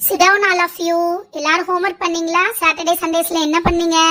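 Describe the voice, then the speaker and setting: A woman uses a cartoonish character voice at an extremely high pitch. Her intonation stays monotone and flat at a moderate pace. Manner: stern, commanding.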